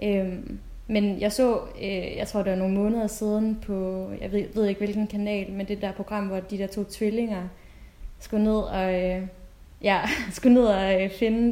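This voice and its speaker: A woman with a dark, mellow tone speaks at a fairly slow pace in a monotone, flat intonation. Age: 20s. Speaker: UX designer, adoptee. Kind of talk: casual chat. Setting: video call.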